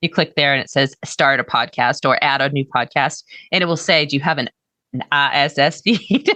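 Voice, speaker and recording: A woman with a Boston accent speaks at a moderate pace in a bright, sharp tone. The sound is dry and close with no echo, over a quiet background. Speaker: podcast coach. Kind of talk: coaching session.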